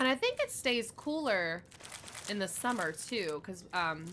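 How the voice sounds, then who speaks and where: A bright, sharp voice with an American accent, speaking at a moderate pace. Its pitch swings very widely. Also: woman. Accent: regional American. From United States. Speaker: gaming streamer. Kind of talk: casual chat.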